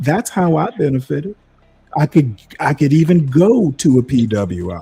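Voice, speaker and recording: A man with an American accent, an animated tone and very wide pitch swings, over music in the background. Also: fairly high pitch for a man, moderate pace. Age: 60s. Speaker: live stream panelist. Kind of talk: heated debate. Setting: live video stream.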